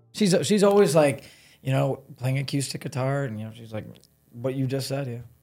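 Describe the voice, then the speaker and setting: Over music in the background, a man with an American accent speaks at a moderate pace and medium pitch, with ordinary pitch variation and big swings in loudness. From US Midwest, Cleveland area, Ohio. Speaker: content creator. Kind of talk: casual chat.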